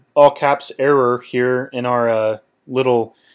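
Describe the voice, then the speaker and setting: A man is talking. The background is silent and the recording very clean. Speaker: tech tutorial youtuber. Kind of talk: tutorial. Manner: casual, many fillers.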